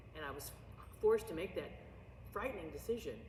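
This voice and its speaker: The voice has an American accent. Room echo can be heard. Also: woman. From US Midwest, St. Louis Missouri. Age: 60s. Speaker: drama teacher and actress. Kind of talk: oral history interview. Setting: school auditorium. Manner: loud; animated.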